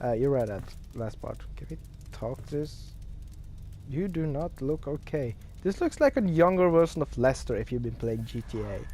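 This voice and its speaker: Someone with a non-native accent talks at a moderate pace, leaving long, frequent pauses. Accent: non-native English speaker. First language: Norwegian. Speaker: gaming streamer. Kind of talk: gameplay commentary with reading aloud. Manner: halting, many fillers.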